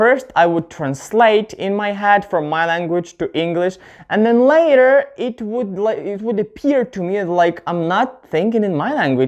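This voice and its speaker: A man with a non-native accent at a moderate pace, very wide pitch swings, and a quiet background. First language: not English. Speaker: English teacher YouTuber. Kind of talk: tutorial. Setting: on camera at home. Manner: halting, with self-corrections.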